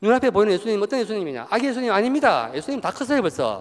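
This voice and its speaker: In a very clean recording with a silent background, a man with a high pitch uses lively intonation. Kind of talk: retreat lecture to parishioners. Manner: lively conversational, humorous, acting out dialogue.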